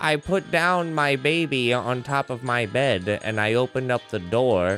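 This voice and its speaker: A put-on character voice plays over clear music in the background. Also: man, medium pitch for a man, moderate pace. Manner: spooky.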